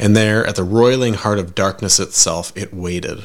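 A man's plain, everyday voice, fairly low in pitch, with fairly even intonation at a moderate pace, on a very clean recording with a silent background. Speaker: horror podcast narrator. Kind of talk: lovecraftian horror narration: scripted first-person tale of dread; scripted narration with dramatic character voice. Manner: theatrical, gravely intoned, heightening to mournful climax.

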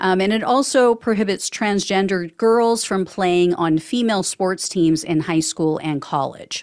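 A woman talks at a medium pitch and a fairly slow pace, hardly pausing at all. She has a normal speaking voice with ordinary pitch variation. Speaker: podcast host. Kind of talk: news roundup read-through with light commentary. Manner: brisk, matter-of-fact delivery; dry, ironic asides.

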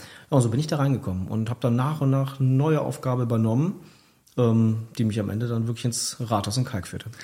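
A somewhat breathy voice with a dark, mellow tone comes through a very clean recording with a silent background. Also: man. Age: 40s. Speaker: former district mayor, author. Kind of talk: radio interview. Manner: many fillers, hesitant.

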